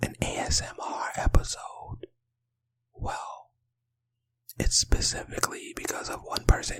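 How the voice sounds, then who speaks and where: A man whispers at a fairly slow pace, leaving long, frequent pauses, his loudness swinging widely. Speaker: podcast host. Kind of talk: ASMR podcast episode. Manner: soft-spoken.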